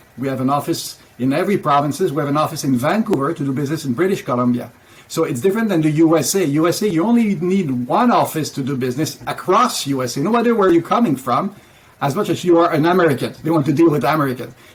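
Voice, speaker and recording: Someone with a French accent speaks at a very fast pace with lively intonation. Background noise is noticeable. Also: man, fairly high pitch for a man. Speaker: business founder. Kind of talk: interview.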